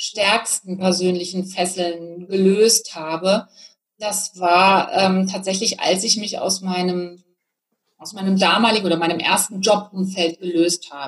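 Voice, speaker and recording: Her pitch is in the medium range. The woman speaks very slowly. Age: 40s. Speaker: business coach. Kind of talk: interview.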